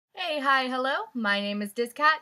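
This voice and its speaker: Her raised, projected voice is high-pitched, with a bright, sharp tone. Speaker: book vlogger. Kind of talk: casual vlog. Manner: animated.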